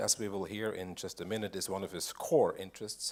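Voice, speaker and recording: Fairly low in pitch, a man talks at a fairly quick pace. The recording is very clean, with a silent background. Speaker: symposium moderator. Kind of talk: speaker introduction. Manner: seated, speaking sitting down.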